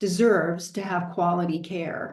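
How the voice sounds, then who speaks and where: At a fairly slow pace, a woman with an American accent speaks at a medium pitch, with audible room echo around her. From Southern California. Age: 60s. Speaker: product presenter. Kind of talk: product presentation.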